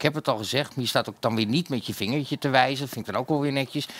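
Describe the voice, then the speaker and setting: Male speech with ordinary pitch variation. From Netherlands. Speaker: talk show host. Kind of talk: casual chat. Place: studio. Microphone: headset.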